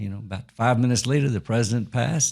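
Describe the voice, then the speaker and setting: With a Texan accent, a man speaks at a very fast pace and a medium pitch. The recording is very clean, with a silent background. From Texas, Fort Worth. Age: 70s. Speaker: author. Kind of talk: interview storytelling. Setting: studio. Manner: halting.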